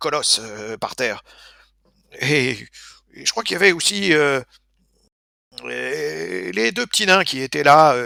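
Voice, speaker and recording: A man puts on a raspy character voice. The sound is dry and close, with no echo. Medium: actual play. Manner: effusive, exclamatory, theatrical.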